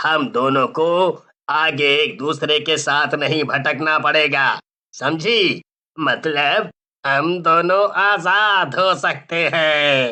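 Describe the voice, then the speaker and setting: A man puts on a cartoonish character voice with a fairly high pitch. He speaks very slowly. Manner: blustering, comic.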